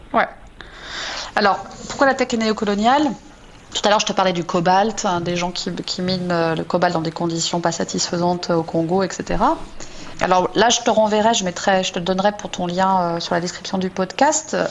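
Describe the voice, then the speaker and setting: Long, frequent pauses and ordinary pitch variation mark the speech, with noticeable background noise behind it. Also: woman, medium pitch for a woman, moderate pace. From France. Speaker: software engineering manager. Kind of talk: radio interview. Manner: hesitant, many repetitions.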